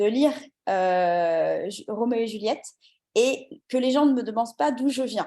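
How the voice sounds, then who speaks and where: Ordinary pitch variation runs through this dark, mellow tone. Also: woman. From France, Le Mans. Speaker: English coach. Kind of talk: casual interview chat.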